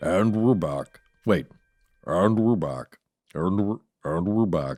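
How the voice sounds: Putting on a character voice, a man speaks at a fairly slow pace in a very deep, low pitch.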